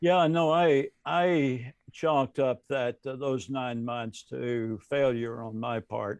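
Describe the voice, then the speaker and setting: The speaker has a Southern US accent and talks at a very slow pace with ordinary pitch variation. The sound is dry and close, with no echo. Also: man, medium pitch for a man. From US South. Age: 70s. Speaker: retired seminary professor and pastor. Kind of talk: casual interview.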